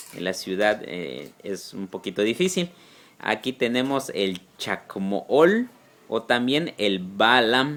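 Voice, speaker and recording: A man talks at a very slow pace with a medium pitch. His pitch swings very widely. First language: Yucatec Maya (speaking Spanish). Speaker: Maya language teacher. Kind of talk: tutorial. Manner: slow, repeating words for learners.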